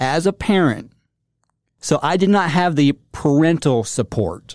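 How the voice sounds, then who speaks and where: Over a silent background in a very clean recording, the speaker talks very slowly with lively intonation, the sound dry and close with no echo. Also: man. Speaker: motivational speaker. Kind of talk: motivational talk with personal story.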